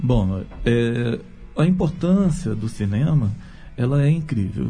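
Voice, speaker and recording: Lively intonation marks this man's somewhat breathy, medium-pitched voice, which has a dark, mellow tone. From Brazil, Rio de Janeiro. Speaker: theologian and writer. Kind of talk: radio panel discussion.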